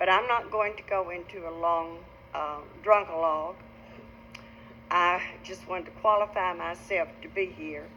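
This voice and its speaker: With an Arkansas accent, a woman of medium pitch talks at a moderate pace with fairly even intonation, long, frequent pauses and big swings in loudness. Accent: Arkansas Southern. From northeastern Arkansas. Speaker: recovering alcoholic speaker. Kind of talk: testimony.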